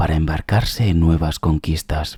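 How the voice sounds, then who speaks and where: A man's calm whisper at a fairly slow pace, dry and close with no echo. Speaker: ASMR narrator. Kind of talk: reading aloud. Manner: whispering; slow, calm.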